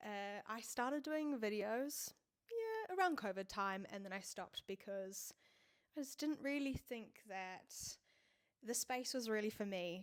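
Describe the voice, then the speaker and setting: Her intonation is lively and her pitch fairly high. The woman talks at a fairly slow pace. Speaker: vlogger, fitness content creator. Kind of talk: personal vlog monologue. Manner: loud.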